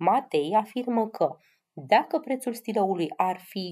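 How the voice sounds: Her slightly mellow voice sits at a medium pitch, and this woman uses lively intonation.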